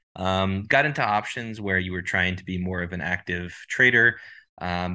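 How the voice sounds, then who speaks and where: Speaking with a Texan accent, a man uses a very deep, low pitch and a bright, sharp tone at a moderate pace. His intonation is fairly even, and the background is quiet. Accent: Texan American. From Texas (Dallas). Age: 20s. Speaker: prop trading firm CEO. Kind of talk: interview.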